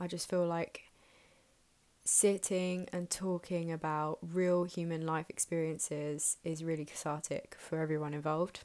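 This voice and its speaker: A woman with a southern English accent, fairly low pitch, monotone, flat intonation, and a fairly slow pace, on a very clean recording with a silent background. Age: 20s. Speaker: podcast host. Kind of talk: casual monologue. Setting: home bedroom.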